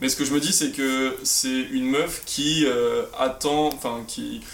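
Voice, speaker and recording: A man's medium-pitched voice, with fairly even intonation, carries audible room echo and noticeable background noise. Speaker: podcast co-host. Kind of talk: casual chat.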